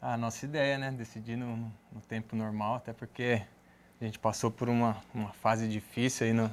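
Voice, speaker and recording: Flat, monotone delivery at a moderate pace. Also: man. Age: 30s. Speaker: futsal player; guest. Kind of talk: studio interview. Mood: relaxed, smiling. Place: studio.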